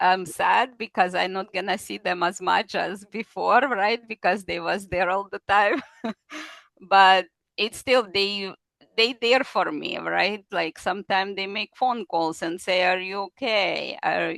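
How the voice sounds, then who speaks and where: Speaking at a fairly slow pace with vocal fry, a woman keeps a medium pitch and ordinary pitch variation in a dry, close sound with no echo. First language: not English. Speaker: kidney disease patient. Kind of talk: interview testimony. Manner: halting, non-native phrasing.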